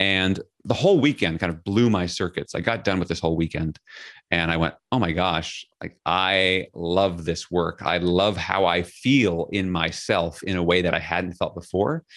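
A man speaks with an American accent at a very deep, low pitch. His pace is moderate and his pitch variation is ordinary. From New York City (Queens). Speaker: leadership speaker and author. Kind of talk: podcast interview.

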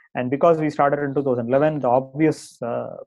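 A man's fairly high-pitched voice moves at a moderate pace. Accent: Tamil. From India, Tamil Nadu. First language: Tamil. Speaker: startup CEO and co-founder. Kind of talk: interview. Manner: hesitant, many fillers.

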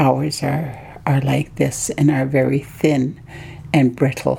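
Over noticeable background noise, a woman speaks very slowly in a very deep, low pitch with fairly even intonation. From Haida Gwaii, British Columbia, Canada. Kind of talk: interview. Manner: halting.

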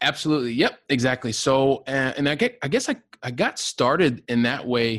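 Recorded with a dry, close sound and no echo, a man speaks in an unremarkable speaking voice at a medium pitch with ordinary pitch variation. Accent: American. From Ohio, US Midwest. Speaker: real estate investor with a day job in software. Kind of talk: podcast interview. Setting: remote call.

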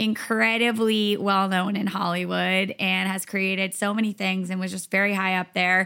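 An animated voice with a bright, sharp tone comes through on a very clean recording with a silent background. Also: woman. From Rhode Island. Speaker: fitness instructor. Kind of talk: casual chat.

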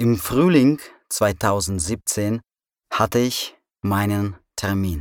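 A man on a very clean recording with a silent background, the sound dry and close with no echo. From Russia, provincial town. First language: Russian (speaking German). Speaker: immigrant sharing personal story. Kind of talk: scripted narration. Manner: slow and clear.

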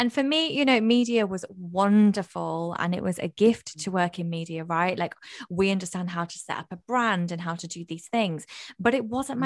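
On a very clean recording with a silent background, a woman speaks in a northern English accent at medium pitch with lively intonation. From northern England. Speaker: mindset coach. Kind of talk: casual chat. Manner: loud, animated.

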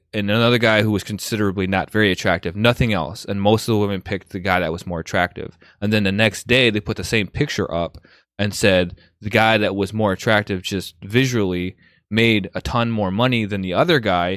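A man talks at a fairly quick pace in a fairly low pitch with fairly even intonation, an ordinary speaking voice. The sound is dry and close with no echo, a very clean recording with a silent background. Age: 30s. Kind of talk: casual chat.

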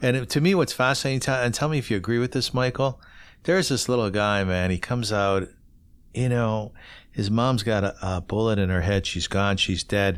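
A man with a Canadian accent talks at a fairly quick pace in a fairly low voice, with ordinary pitch variation and very even loudness, in a very clean recording with a silent background. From Ontario, Canada. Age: 50s. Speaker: podcast host. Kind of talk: casual interview. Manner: animated.

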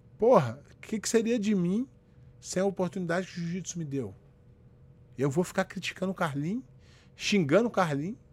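A high-pitched man at a moderate pace, lively in intonation, with long, frequent pauses. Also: big swings in loudness. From Rio de Janeiro, Brazil. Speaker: jiu-jitsu instructor and live-stream host. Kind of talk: casual live-stream chat. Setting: solo live video stream. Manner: animated.

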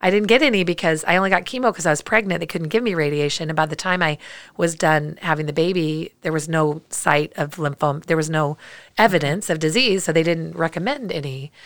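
At a fairly quick pace, a woman with a fairly low pitch and ordinary pitch variation talks in an unremarkable speaking voice on a very clean recording with a silent background. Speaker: cancer survivor. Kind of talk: testimony. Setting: studio.

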